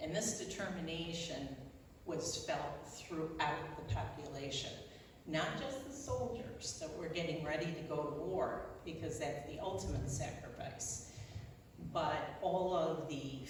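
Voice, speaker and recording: Amid noticeable background noise and audible room echo, a woman speaks very slowly with a very deep, low pitch. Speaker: local historian. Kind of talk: lecture. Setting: presentation to audience with microphone.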